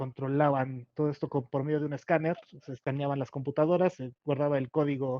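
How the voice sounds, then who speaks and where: A man speaks with a Mexico City accent at a fairly high pitch. His intonation stays monotone and flat. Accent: Mexican Spanish (Mexico City). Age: 30s. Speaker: Scrum/agile consultant. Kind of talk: interview. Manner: halting, many fillers.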